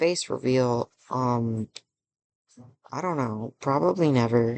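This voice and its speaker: Soft-spoken and very slow, a man talks at medium pitch with ordinary pitch variation. The sound is dry and close, with no echo. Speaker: gaming YouTuber and streamer. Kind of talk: casual Q&A vlog. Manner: quiet, soft-spoken.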